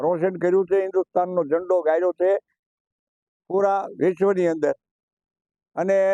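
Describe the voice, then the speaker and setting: A man speaks at a high pitch in a monotone, flat delivery with very even loudness. His tone is dark and mellow, and the sound is dry and close with no echo. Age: 80s+. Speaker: retired stage magician. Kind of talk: interview.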